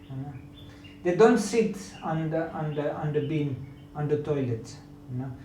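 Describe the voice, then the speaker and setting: Fairly high-pitched male speech with a non-native accent, moderate pace, ordinary pitch variation and long, frequent pauses, plus audible room echo and noticeable background noise. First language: not English. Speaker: yoga teacher. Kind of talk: lecture. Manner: halting.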